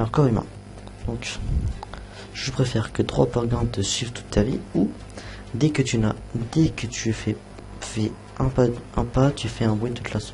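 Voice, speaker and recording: Soft-spoken, a man with a medium pitch and ordinary pitch variation talks at a moderate pace with long, frequent pauses, against noticeable background noise. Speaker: youtuber. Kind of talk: casual chat. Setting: live stream. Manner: halting. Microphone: quiet, adjusted level.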